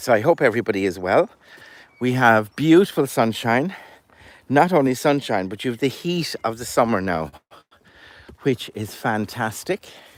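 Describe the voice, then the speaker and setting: A man with an Irish accent and medium pitch talks at a moderate pace, with long, frequent pauses. His pitch swings very widely and his loudness shifts greatly. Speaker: storyteller and goat farmer. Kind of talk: casual chat.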